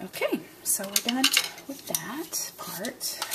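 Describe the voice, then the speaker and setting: A soft-spoken woman at a very slow pace, with noticeable background noise. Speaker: card-making crafter. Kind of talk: tutorial. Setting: at home, early morning. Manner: casual, chatty.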